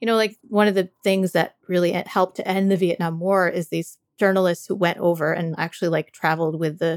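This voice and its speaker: The speaker is a woman with an American accent, talking at a fairly quick pace. Her intonation is fairly even, and the sound is dry and close with no echo. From Canada and the US. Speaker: podcast co-host and writer. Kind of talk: casual conversation.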